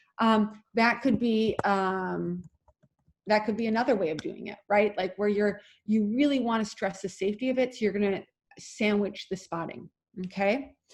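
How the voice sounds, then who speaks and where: Ordinary pitch variation marks a woman's medium-pitched voice. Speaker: acro yoga teacher trainer. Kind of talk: online class lecture. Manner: fast.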